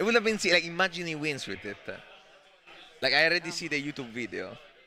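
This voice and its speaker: Speaking very fast with a strong Italian accent, a man's high-pitched voice has an animated tone, lively intonation and big swings in loudness. Music plays in the background. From Italy. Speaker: esports commentator. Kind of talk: live commentary.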